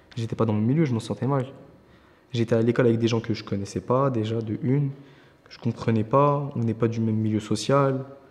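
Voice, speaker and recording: Speaking at a fairly quick pace, a man with an unremarkable speaking voice keeps a medium pitch and fairly even intonation, though his loudness swings widely. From southern France, Nîmes. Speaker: young volunteer in a job-training programme. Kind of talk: testimony.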